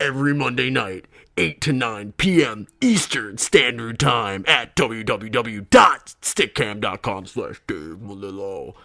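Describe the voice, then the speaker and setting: A man does a put-on character voice at a very slow pace and medium pitch, with hardly any pauses. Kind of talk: radio announcer. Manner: smooth, announcing.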